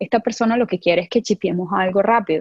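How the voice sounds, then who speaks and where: With a Venezuelan accent, a woman speaks somewhat breathily at a fairly quick pace, at medium pitch with ordinary pitch variation. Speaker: product designer. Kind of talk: casual interview.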